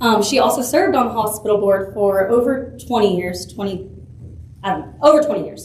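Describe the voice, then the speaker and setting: With a Texas accent, a woman talks at a fairly high pitch and a fairly quick pace with lively intonation, along with noticeable background noise and audible room echo. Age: 20s. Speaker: political candidate. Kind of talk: campaign speech. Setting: public forum with audience.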